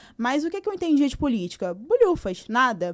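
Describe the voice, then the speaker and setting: A woman is talking. Her pace is moderate. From São Gonçalo, Rio de Janeiro, Brazil. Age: 20s. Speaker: activist and social scientist. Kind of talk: podcast interview.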